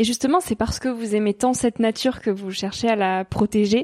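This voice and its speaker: The sound is dry and close, with no echo at all. A woman does the talking. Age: 20s. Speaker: podcast host. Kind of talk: interview.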